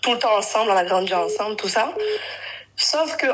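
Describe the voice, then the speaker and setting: Against noticeable background noise, a woman speaks at a moderate pace in a fairly high pitch with lively intonation. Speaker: caller on a live stream. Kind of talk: personal testimony on a live call. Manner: halting, with many self-corrections.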